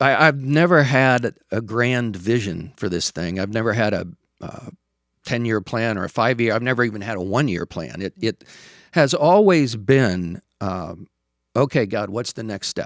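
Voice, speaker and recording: A man speaks at a moderate pace in a plain, everyday voice, medium in pitch with lively intonation. The sound is dry and close with no echo, on a very clean recording with a silent background. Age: 60s. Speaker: coffee shop owner and counselor. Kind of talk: interview.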